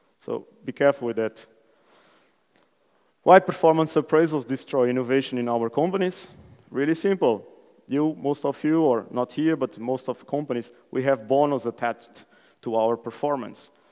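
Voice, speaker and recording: A man's fairly high voice with a Portuguese accent, dark and mellow in tone, with ordinary pitch variation, a moderate pace and long, frequent pauses. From Portugal. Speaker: conference speaker. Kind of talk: conference talk. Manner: animated.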